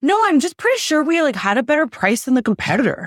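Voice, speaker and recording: A put-on character voice, high in pitch, races along at a very fast pace with very wide pitch swings. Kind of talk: casual, laid-back.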